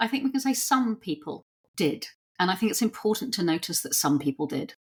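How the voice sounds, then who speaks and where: Vocal fry runs through a woman's voice as her pitch swings very widely. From southeast London. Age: 60s. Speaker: novelist. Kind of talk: interview conversation.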